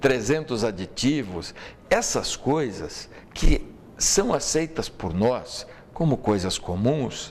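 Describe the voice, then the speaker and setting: The voice moves very slowly, with very wide pitch swings and vocal fry. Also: man, medium pitch for a man. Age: 60s. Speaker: lawyer and political commentator. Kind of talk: talk show interview.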